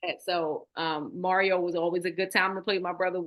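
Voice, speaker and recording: With a Baltimore accent, a woman talks at a fairly quick pace in a medium-pitched voice with monotone, flat intonation. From Baltimore, Maryland, US. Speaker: nonprofit founder. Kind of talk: interview.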